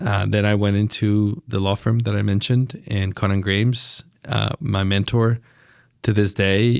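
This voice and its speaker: On a very clean recording with total silence behind him, a man with a Spanish accent speaks in a fairly low pitch with fairly even intonation. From Mexico, Chiapas. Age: 50s. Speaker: lawyer and business leader. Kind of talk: podcast interview. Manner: halting, with repetitions.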